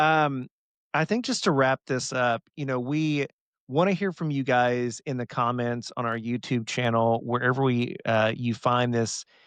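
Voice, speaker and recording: Heard dry and close with no echo against a quiet background, the voice has an American accent and ordinary pitch variation. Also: man, medium pitch for a man. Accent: Southern US, stronger when excited. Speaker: pharmacist podcast host. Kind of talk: casual chat.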